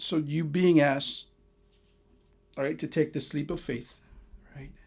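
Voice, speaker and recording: Using a Lao accent, a man talks at a fairly slow pace with a fairly high pitch and ordinary pitch variation. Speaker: tarot reader. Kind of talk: tarot reading monologue. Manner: halting, many repeats and fillers.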